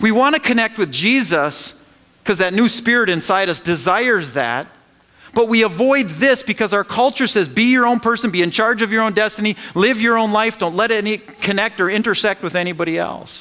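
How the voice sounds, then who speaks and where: Against a quiet background, a man speaks in a raised, projected voice at a high pitch and fairly quick pace, with a bright, sharp tone, very even loudness and ordinary pitch variation. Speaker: pastor. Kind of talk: sermon. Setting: church. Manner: animated, call-and-response preaching; emphatic, repeating phrases for emphasis. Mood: earnest, rhetorical questions. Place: church.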